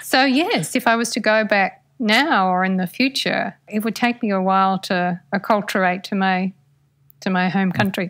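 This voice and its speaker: In an American accent, a woman speaks at a medium pitch with ordinary pitch variation, recorded very cleanly against a silent background. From Australia. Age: 50s. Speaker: writer. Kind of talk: interview. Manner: slow; clearly articulated.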